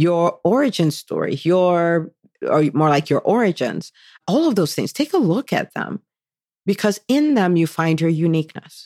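With an American accent, a woman talks in an animated, enthusiastic tone with very wide pitch swings, the sound dry and close with no echo. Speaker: podcast host and physician entrepreneur coach. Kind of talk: solo podcast monologue, motivational talk.

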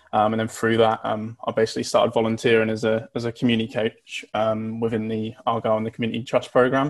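A man is talking. His pace is very fast. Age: 20s. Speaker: youth football coach. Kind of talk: casual chat.

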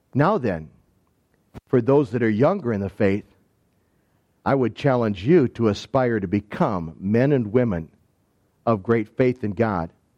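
At a fairly slow pace, a man with an Upper Midwest accent and a medium pitch speaks in a dark, mellow tone with lively intonation and long, frequent pauses, set against a quiet background. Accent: Upper Midwest American. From southwestern Michigan. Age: 60s. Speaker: pastor. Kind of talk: sermon.

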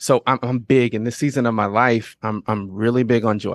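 A man talks in an unremarkable speaking voice at medium pitch. He moves at a fairly quick pace against a quiet background. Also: dry, close sound with no echo. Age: 40s. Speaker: podcast production entrepreneur. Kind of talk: casual interview chat.

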